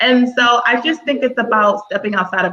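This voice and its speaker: A woman speaks with a bright, sharp tone. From Texas. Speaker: panelist. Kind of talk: panel discussion. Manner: animated.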